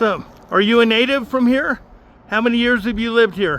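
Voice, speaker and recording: Noticeable background noise behind a man's high voice, ordinary pitch variation and a moderate pace. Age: 70s. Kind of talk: casual chat. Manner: animated.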